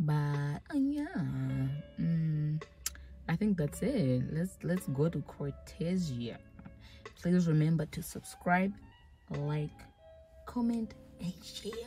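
A woman at a very slow pace, with long, frequent pauses and faint background music. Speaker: vlogger. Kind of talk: casual vlog chat. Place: car. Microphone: phone near.

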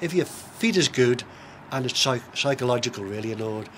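A man with a Manx accent talks at a fairly quick pace over light background noise. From Isle of Man. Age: 70s. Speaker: long-distance race walker. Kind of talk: interview answer. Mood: relaxed reminiscing. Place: garden. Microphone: camera far.

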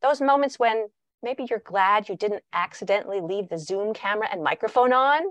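Recorded with a dry sound, no echo, and a quiet background, a woman speaks at a moderate pace. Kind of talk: lecture. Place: home room. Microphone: video call.

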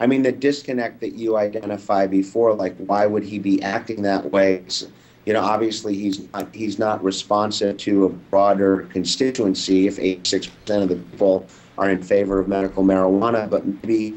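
With an American accent, a man speaks at a moderate pace in a fairly low pitch and fairly even intonation. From Los Angeles, California. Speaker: documentary filmmaker; interview guest. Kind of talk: interview; interview answer. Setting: video call. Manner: halting, many fillers and repeats. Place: home room. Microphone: webcam.

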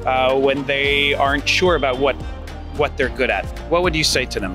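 The speaker keeps a moderate pace over clear music in the background. The sound is dry, with no echo. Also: man. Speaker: host and reporter. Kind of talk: man-on-the-street interviewer. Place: street. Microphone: handheld.

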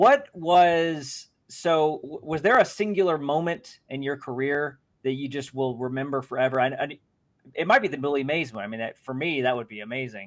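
A man with an ordinary speaking voice talks at a moderate pace and fairly high pitch, with ordinary pitch variation. His loudness swings widely over a quiet background. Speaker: interviewer and card channel host; interviewer, card channel host. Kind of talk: casual interview. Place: home room. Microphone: video call.

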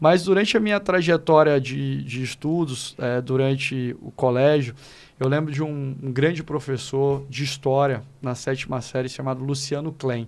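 A man speaks at a fairly slow pace. His fairly high pitch shows ordinary pitch variation. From Northeast Brazil, Fortaleza (Ceará); Ceará, Brazil. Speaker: law professor and educator; law professor, educator. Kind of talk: podcast interview. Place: studio. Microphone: studio mic.

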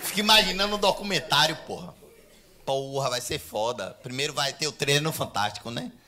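With an animated tone and very wide pitch swings, a man talks at a fairly high pitch over light background noise. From Brazil. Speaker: stand-up comedian. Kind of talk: stand-up comedy. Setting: stage with audience. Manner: animated, fast, irreverent, punchline-driven; casual, profane, bro-style slang. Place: stage. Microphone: handheld.

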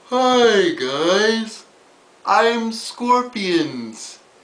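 The pitch is fairly high. A put-on character voice is used. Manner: goofy, put-on.

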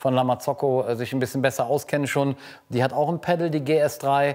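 His voice has a slightly mellow tone, medium pitch for a man and fairly even intonation.

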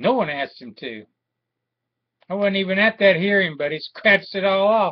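A man's high voice at a moderate pace, with ordinary pitch variation, big swings in loudness, and a quiet background. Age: 50s. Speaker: war veteran and aggrieved father. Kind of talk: personal video appeal. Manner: halting, with many fillers. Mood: aggrieved, indignant. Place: home room. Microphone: webcam.

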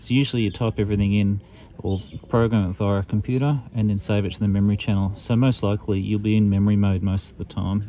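Over light background noise, a man with an Australian accent and a fairly low pitch races along at a very fast pace, keeping fairly even intonation in a dry sound with no echo. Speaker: amateur radio reviewer. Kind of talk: product review tutorial. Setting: outdoors in the bush. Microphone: phone near.

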